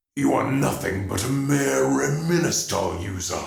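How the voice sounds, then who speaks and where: Over music in the background with audible echo, a raspy, put-on character voice moves at a moderate pace through very wide pitch swings. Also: man, fairly low pitch for a man. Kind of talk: audiobook character dialogue.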